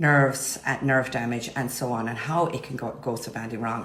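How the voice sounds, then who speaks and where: A woman with a Cork accent at a fairly quick pace, with audible room echo and noticeable background noise. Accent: Irish (Cork). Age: 50s. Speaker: nurse and cosmetic injector. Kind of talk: informal talk to camera about services. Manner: casual, hesitant with many fillers.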